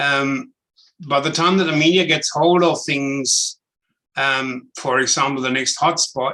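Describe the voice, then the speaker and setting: Speaking at a fairly slow pace with fairly even intonation, a man talks with a German accent. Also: fairly high pitch for a man. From Germany. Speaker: property investment educator. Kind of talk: webinar presentation. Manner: direct.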